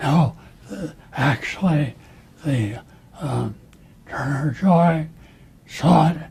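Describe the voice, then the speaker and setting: Noticeable background noise sits behind a man whose fairly high voice has lively intonation. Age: 80s+. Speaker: retired navy admiral. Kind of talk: interview answer.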